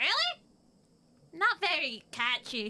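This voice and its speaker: Someone does a put-on character voice at a high pitch. The delivery has very wide pitch swings. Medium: audio drama. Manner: gruff, blunt.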